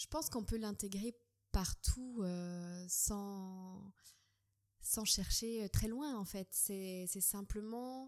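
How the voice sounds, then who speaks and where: A woman with a medium pitch speaks at a very slow pace, using ordinary pitch variation. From Switzerland. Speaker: dance teacher and doula. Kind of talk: interview. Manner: hesitant.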